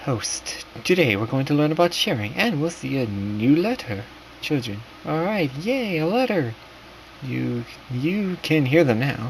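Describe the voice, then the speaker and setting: Against noticeable background noise, a man with a fairly high pitch speaks at a fairly slow pace, his pitch swinging very widely. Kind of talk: narrated horror story in second person, casual read-aloud. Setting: late-night home recording, rough quality.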